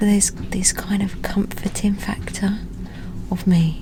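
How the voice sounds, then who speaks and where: With a British accent, a woman speaks at a fairly slow pace over noticeable background noise. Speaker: travel vlogger. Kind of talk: casual vlog talk to camera.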